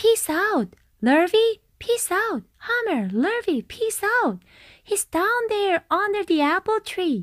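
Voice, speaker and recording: A woman shouts in a squeaky, put-on character voice at an extremely high pitch and a fairly slow pace. The sound is dry and close, with no echo. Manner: shouting, excited.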